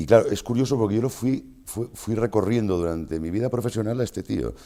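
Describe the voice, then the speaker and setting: A man speaks at a fairly quick pace. His voice is fairly low, with a dark, mellow tone. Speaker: voice actor. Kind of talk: interview answer. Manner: casual, conversational.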